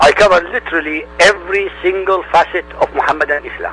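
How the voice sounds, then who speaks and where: Over noticeable background noise, a man with an Arabic accent speaks at a moderate pace. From Middle East. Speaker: independent religion researcher, YouTuber. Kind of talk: radio interview.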